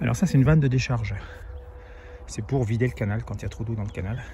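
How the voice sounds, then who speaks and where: Noticeable background noise behind a man's medium-pitched voice, fairly quick in pace, with ordinary pitch variation. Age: 60s. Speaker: cycling vlogger. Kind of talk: vlog narration while cycling. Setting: outdoors on a bike. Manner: casual, hesitant with fillers.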